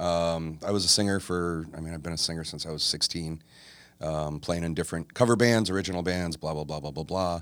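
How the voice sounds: A man speaks at a fairly quick pace in a low voice with a fairly bright tone. The recording is very clean, with a silent background. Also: ordinary pitch variation.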